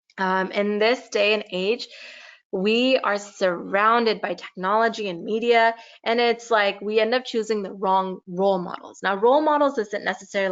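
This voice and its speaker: With a slight Californian accent, a woman speaks at a fairly high pitch using ordinary pitch variation. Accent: California valley girl accent, slight. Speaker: youth teacher. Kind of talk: talk to children. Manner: casual, many fillers.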